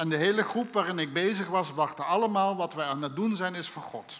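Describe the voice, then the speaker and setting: A man speaks with a high pitch and a slight Limburg accent, using ordinary pitch variation. Noticeable background noise and audible room echo surround him. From Limburg, Netherlands. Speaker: preacher. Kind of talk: sermon.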